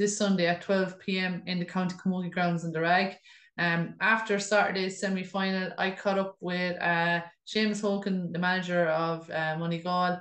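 In a room with audible echo but a quiet background, a woman speaks at a moderate pace with monotone, flat intonation. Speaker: podcast host. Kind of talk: sports news report. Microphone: webcam.

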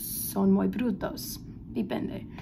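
Somewhat breathy and dark, mellow in tone, a woman's voice comes through over light background noise. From Philadelphia, US. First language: English (speaking Spanish). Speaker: language student. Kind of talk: class presentation. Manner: halting. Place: home room. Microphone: phone near.

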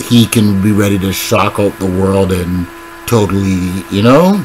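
Speaking very slowly at a fairly low pitch, a man shows ordinary pitch variation over light background noise. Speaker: battle rap commentator. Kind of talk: casual commentary. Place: home room. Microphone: webcam.

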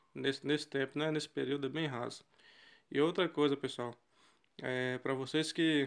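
This man's pitch is fairly high. He speaks at a moderate pace. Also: very clean recording, silent background. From western Bahia, Brazil. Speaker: travel vlogger. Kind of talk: casual vlog narration while filming. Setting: outdoors by a river. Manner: animated, enthusiastic.

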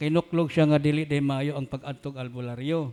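A man is speaking. His intonation is fairly even. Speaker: forum moderator reading questions. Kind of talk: reading aloud.

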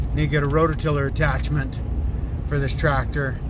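A man speaks over noticeable background noise, with a dry sound and no echo. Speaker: small farm owner vlogger. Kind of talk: casual vlog chat. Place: car.

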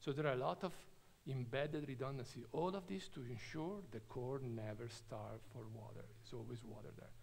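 There is vocal fry in this man's voice, which has ordinary pitch variation. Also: moderate pace, big swings in loudness. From Italy, Trento. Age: 50s. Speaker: nuclear engineer. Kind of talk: lecture. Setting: stage with audience. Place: hall.

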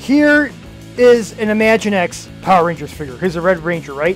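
Faint music plays behind the voice. The speaker is a man. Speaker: toy channel host. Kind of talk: excited toy unboxing commentary. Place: home room. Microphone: phone near.

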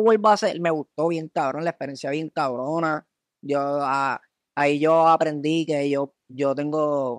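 A man speaks at a fairly slow pace in a fairly high pitch, with ordinary pitch variation and a plain, everyday voice. The sound is dry and close, with no echo. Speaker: comedy video creator. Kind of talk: casual chat.

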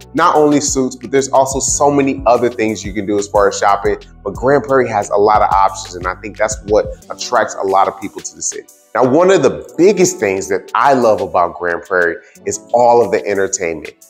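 Speaking fairly quickly, a man talks as faint music plays behind him. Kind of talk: promotional city tour talk to camera. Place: street. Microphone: lapel.

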